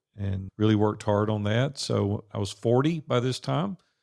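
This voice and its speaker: Fairly low in pitch, a man with a Southern US accent and ordinary pitch variation, on a very clean recording with a silent background. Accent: Southern drawl. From US South, Nashville, Tennessee. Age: 60s. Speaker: entrepreneur and business coach. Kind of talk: podcast interview. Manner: casual, conversational.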